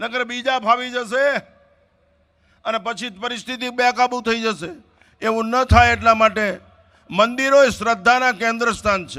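The voice is raised and projected, its intonation fairly even. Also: man, extremely high pitch for a man. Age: 70s. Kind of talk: religious discourse.

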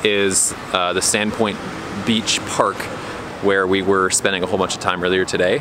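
The voice moves at a moderate pace in a dry sound with no echo, though with noticeable background noise. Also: man. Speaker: family RV vlogger. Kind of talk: casual vlog chat. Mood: upbeat, relaxed. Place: street. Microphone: phone near.

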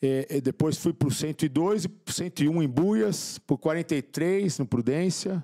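A man's fairly high voice carries a dark, mellow tone. His pitch varies in an ordinary way, and the background is quiet. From São Paulo, Brazil. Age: 50s. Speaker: motivational speaker and author, former drug addict; podcast guest. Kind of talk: interview testimony. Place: studio. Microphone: studio mic.

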